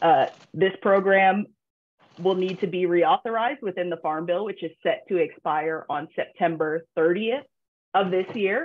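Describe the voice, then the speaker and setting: Speaking fairly slowly, a woman lets her pitch vary in an ordinary way. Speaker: government relations director; presenter. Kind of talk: panel discussion presentation. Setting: video call. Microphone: video call.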